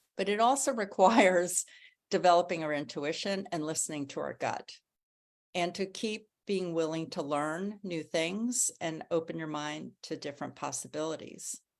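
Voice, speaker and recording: A woman talks in a normal speaking voice. Her pitch varies in an ordinary way. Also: fairly low pitch for a woman, moderate pace. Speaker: author, writing coach and women's speaker. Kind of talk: motivational talk to an online women's gathering.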